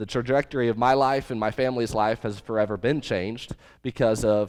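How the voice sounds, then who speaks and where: A man with an American accent talks at a fairly quick pace and medium pitch in a very clean recording with a silent background. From Missouri. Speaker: youth pastor. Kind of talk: sermon. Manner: energetic.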